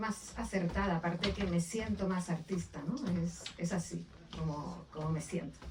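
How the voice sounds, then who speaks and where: With noticeable background noise behind her, a woman with a Canarian accent speaks at a fairly slow pace. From Canary Islands (Las Palmas de Gran Canaria). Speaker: author. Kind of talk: book presentation interview. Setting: bookshop event with audience. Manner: hesitant, with fillers and repetitions.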